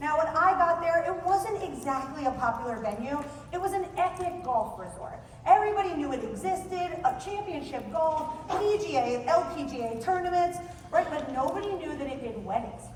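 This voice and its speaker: Audible room echo surrounds a woman whose extremely high-pitched voice has an animated tone and lively intonation. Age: 40s. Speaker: conference speaker, wedding venue sales expert. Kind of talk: conference presentation. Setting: stage with audience. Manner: very fast.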